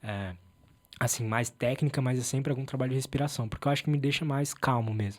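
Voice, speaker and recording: The speech goes at a very fast pace with fairly even intonation. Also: man, medium pitch for a man. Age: 20s. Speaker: podcast host interviewed as guest. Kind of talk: casual chat.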